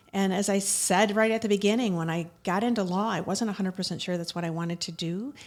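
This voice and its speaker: A woman with an American accent speaks in a normal speaking voice at medium pitch, at a fairly quick pace with ordinary pitch variation. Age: 60s. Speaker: attorney. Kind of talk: interview conversation.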